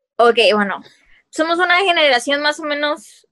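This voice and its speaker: With a quiet background, the pitch moves in an ordinary way. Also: woman. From Mexico. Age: 20s. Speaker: podcast host and coffee shop owner; podcast host. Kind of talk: casual chat. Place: home room. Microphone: video call.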